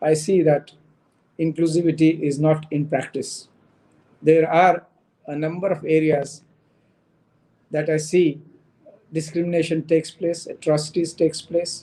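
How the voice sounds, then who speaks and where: A dark, mellow tone in a Marathi accent, monotone and flat, at a moderate pace with long, frequent pauses. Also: man, fairly high pitch for a man. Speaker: human rights commission member. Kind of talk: panel talk. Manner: halting.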